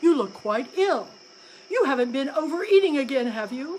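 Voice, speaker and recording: Putting on a character voice, a woman speaks at a moderate pace and high pitch over clear background noise. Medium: read story.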